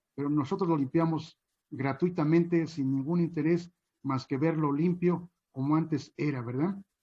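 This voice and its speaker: A man's fairly high voice with a dark, mellow tone, fairly even intonation and a moderate pace. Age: 60s. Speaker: chinampa farmer. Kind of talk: panel talk. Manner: hesitant, many fillers.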